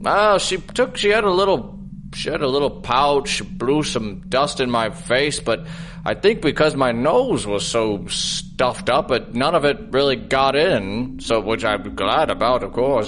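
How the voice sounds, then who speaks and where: At a moderate pace, a man puts on a character voice while clear background noise carries on behind him. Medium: audio drama. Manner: hesitant, rambling with many ums and uhs.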